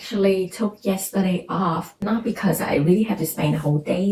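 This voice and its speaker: Noticeable background noise sits behind a woman's fairly low voice. She speaks at a moderate pace with ordinary pitch variation. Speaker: vlogger and graduate student. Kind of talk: casual vlog talk. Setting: at home, quiet house. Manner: soft-spoken; hesitant, many fillers.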